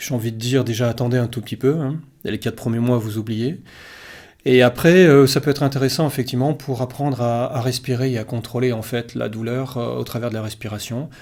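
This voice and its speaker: In a very clean recording with a silent background, a man of medium pitch talks at a fairly quick pace with fairly even intonation. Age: 60s. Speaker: yoga teacher. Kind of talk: casual talk-to-camera Q&A. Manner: hesitant, many fillers.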